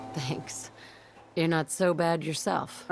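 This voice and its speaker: This put-on character voice sits at a middle pitch and sounds raspy. Background noise is clearly audible. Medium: video game.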